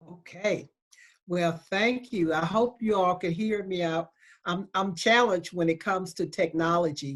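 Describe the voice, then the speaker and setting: A woman with a Southern accent at a fairly slow pace. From US South, Selma, Alabama. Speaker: law school dean. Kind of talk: panel talk. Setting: video call.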